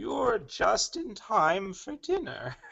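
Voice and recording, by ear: Here a man talks. The voice is a put-on character voice.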